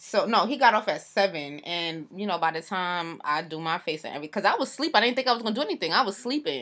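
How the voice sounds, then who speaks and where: Loud and very fast, a woman at a medium pitch speaks in a bright, sharp tone with very wide pitch swings, on a very clean recording with a silent background. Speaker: podcast co-host. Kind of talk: casual chat.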